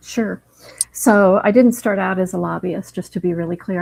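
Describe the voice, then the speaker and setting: A woman has a plain, everyday voice with fairly low pitch. She speaks at a moderate pace. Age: 60s. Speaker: mental health advocate and lobbyist. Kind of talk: podcast interview.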